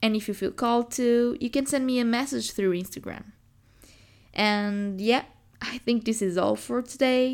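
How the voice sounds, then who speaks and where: A woman speaks with ordinary pitch variation. She has an unremarkable speaking voice. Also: fairly high pitch for a woman. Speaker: podcast host and poet. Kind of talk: poem reading, performed aloud; reading aloud of a poem, then casual sign-off. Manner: slow, measured, lyrical and contemplative.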